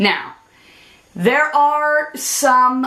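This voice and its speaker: A woman projects a raised voice at a high pitch with a bright, sharp tone. Her intonation stays fairly even. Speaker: vlogger. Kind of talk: personal vlog talk to camera.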